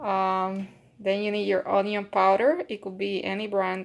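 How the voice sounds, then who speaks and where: On a very clean recording with a silent background, a woman speaks in a Puerto Rican accent. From Puerto Rico. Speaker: home cook. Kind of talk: cooking tutorial. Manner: casual, hesitant with fillers.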